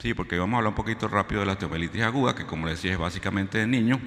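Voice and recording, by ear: A man speaks at a very fast pace with a fairly low pitch. His tone is fairly bright, and his pitch varies in an ordinary way.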